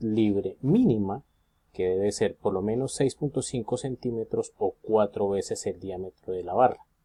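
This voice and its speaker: A dark, mellow tone at a fairly slow pace, with ordinary pitch variation and a dry, close sound with no echo. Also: man. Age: 40s. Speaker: engineering student. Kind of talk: student presentation. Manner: halting, with fillers.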